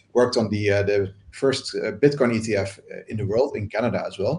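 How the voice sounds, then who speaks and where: A man speaks with a Dutch accent at a moderate pace. His voice is somewhat breathy. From Netherlands. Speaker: crypto investor. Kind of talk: panel talk. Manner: halting.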